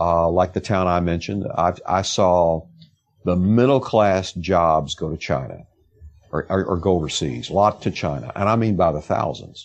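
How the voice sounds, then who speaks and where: Speaking at a moderate pace, a man has a very deep, low pitch. His pitch varies in an ordinary way. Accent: Texan. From rural East Texas, US South. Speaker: investigative reporter. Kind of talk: interview conversation.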